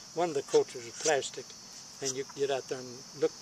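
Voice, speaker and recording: Monotone, flat intonation from a man against noticeable background noise. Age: 90s. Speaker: elderly interviewee. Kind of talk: casual chat.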